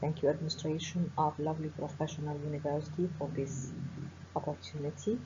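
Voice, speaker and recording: With an Egyptian accent, a woman with a very deep, low pitch talks at a moderate pace amid audible room echo. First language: Arabic. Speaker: professor of forensic medicine. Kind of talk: webinar lecture. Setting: online webinar.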